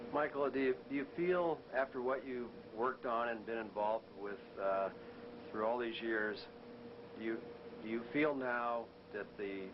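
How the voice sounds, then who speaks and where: A man with an American accent and ordinary pitch variation, long, frequent pauses, and noticeable background noise. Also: medium pitch for a man, moderate pace. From Massachusetts. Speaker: interviewer. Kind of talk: interview. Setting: office. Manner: halting, repeats words.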